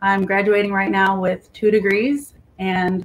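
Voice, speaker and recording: Her intonation monotone and flat, a woman with an American accent talks at a fairly slow pace and medium pitch. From California. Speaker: author. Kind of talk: interview.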